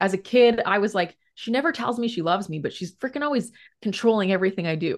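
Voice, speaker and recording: Over a quiet background, a woman talks at a very fast pace with lively intonation. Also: medium pitch for a woman. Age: 30s. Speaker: psychologist and couples therapist. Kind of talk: podcast interview.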